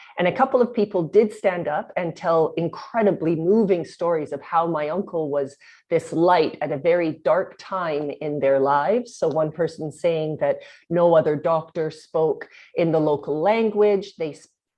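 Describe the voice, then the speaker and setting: With a Canadian accent, a woman speaks in an unremarkable speaking voice at a fairly low pitch. She keeps a moderate pace with ordinary pitch variation. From Canada, Winnipeg, Manitoba. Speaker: company founder and CEO. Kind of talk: podcast interview.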